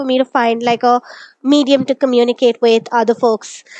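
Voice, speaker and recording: A woman speaks with an Indian accent, the sound dry and close with no echo. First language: Malayalam. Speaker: technical writer. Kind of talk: interview.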